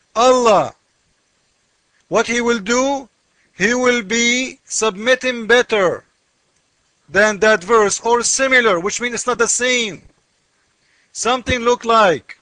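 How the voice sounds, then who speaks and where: In an extremely high pitch, a man speaks with a raised, projected voice. He goes at a very slow pace with long, frequent pauses. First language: not English. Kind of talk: commentary on a comment, screen walkthrough. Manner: animated.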